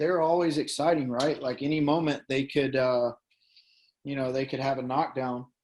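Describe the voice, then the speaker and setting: A man speaks in a Tennessee accent at a fairly high pitch. His pace is moderate and his intonation is monotone and flat. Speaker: MMA fighter. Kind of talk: casual chat.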